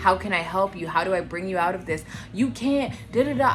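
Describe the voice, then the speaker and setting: A woman speaks with lively intonation at a fairly low pitch. Music plays in the background, and the room has an audible echo. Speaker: vlogger. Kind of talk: personal testimony vlog. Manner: halting, self-correcting; careful, treading lightly.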